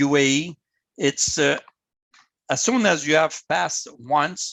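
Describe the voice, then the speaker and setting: This man has a fairly high pitch. He talks with a Quebec accent. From Canada. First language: French. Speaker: volunteer motorsport official. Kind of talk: presentation to club over video call. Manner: halting, many repetitions.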